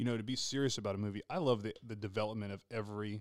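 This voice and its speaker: A man's fairly low voice in a Texas accent, very fast and fairly even in intonation, in a very clean recording with a silent background. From Texas, Glen Rose. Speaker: podcast host. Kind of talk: casual chat.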